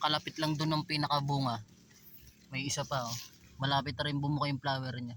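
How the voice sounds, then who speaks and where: A man at a very fast pace, fairly high-pitched, with a bright, sharp tone, monotone, flat intonation and long, frequent pauses. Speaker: vlogger and vegetable farmer. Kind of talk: tutorial. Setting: outdoors in a farm field. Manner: casual, friendly.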